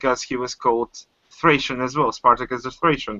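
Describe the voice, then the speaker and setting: A man at a medium pitch with a Bulgarian accent, ordinary pitch variation and a moderate pace. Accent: foreign accent (Bulgarian). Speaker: caller on livestream. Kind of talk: casual chat. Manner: halting.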